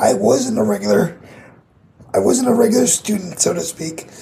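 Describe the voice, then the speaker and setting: A man speaks with an American accent. There is noticeable background noise. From US Midwest, Grand Rapids Michigan. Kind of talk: casual interview chat.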